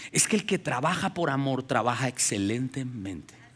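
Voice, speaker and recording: At a moderate pace, a man with a medium pitch speaks in an animated tone. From Colombia (Ubaté, near Bogotá). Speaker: pastor. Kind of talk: sermon. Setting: church with congregation. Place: stage. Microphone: headset.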